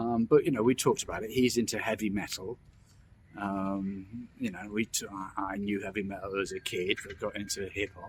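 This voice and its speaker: Fairly even intonation at a moderate pace from a man with a London accent, with big swings in loudness. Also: fairly low pitch for a man. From London, England. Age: 60s. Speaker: vlogger. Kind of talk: casual monologue. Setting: outdoors in a park. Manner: halting, many repetitions and false starts.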